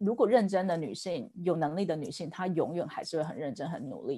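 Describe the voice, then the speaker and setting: A woman with a Taiwanese accent talks at a fairly quick pace with a fairly low pitch. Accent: Taiwanese Mandarin. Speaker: ad tech executive. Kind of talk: casual panel discussion.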